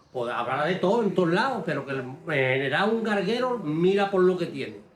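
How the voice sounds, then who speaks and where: Against noticeable background noise and audible room echo, a man speaks at a moderate pace in a high voice with very wide pitch swings. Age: 60s. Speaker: galgo hunter and breeder. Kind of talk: documentary interview. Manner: animated.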